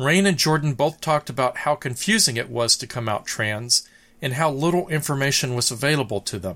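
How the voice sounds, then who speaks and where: A man with an American accent, bright and sharp in tone, lively intonation, fairly quick pace, on a very clean recording with a silent background. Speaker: podcast host interviewer. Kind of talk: interview conversation.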